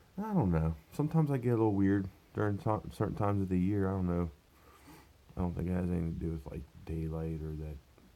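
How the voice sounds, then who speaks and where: Very deep and low in pitch, a man races along at a very fast pace with a dark, mellow tone and ordinary pitch variation. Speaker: vlogger, manual worker. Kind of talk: casual vlog. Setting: at home. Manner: quieter than usual.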